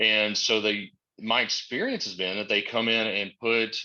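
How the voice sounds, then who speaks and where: A man's fairly low voice, bright and sharp in tone, at a moderate pace with fairly even intonation and a quiet background. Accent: Southern US. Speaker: manager who employs people on the registry. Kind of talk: webinar panel discussion.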